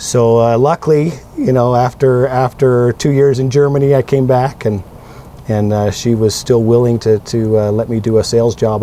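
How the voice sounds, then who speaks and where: A man in a Western US accent, fairly even in intonation, over noticeable background noise. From Utah. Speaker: city council candidate. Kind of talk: casual interview.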